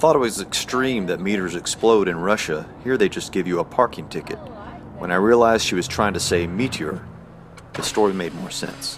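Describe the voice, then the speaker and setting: A man with an American accent at a fairly quick pace, fairly low in pitch with ordinary pitch variation, over noticeable background noise. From Texas. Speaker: storm chaser and video documentary maker. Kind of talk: documentary narration.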